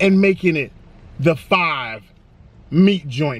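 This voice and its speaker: A man talks in an energetic, playful tone. The sound is dry, with no echo. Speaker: food reviewer. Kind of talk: casual food review to camera. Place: car.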